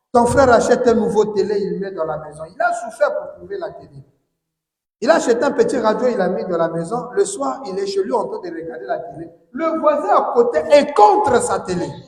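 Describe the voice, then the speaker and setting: With audible room echo, a man talks at a moderate pace in an extremely high pitch, his voice making very wide pitch swings and big swings in loudness. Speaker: preacher. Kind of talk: sermon.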